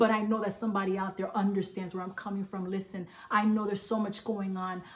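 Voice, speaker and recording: A woman talks over noticeable background noise. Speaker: preacher. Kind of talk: sermon. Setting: online church service. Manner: animated, emphatic preaching; repeats "listen" for emphasis, call-and-response style.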